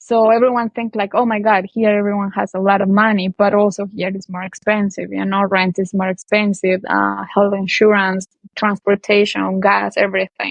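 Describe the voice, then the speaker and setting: A moderate pace and monotone, flat intonation, with a Colombian accent. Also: woman. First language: Spanish. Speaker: language teacher. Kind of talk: interview answer. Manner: casual, conversational.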